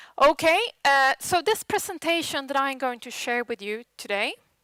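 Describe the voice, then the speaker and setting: With a Swedish accent, a woman speaks at a fairly slow pace and high pitch, her bright, sharp tone carrying lively intonation. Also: dry, close sound with no echo. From Sweden. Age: 40s. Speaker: tech conference speaker. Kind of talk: conference presentation. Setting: stage with audience.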